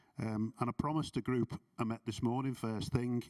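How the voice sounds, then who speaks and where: At a fairly quick pace, a man with a medium pitch and a dark, mellow tone talks in fairly even intonation, the sound dry and close with no echo. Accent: Liverpool. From Liverpool, England. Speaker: transport programme director. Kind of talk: conference reflection talk. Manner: hesitant, many fillers.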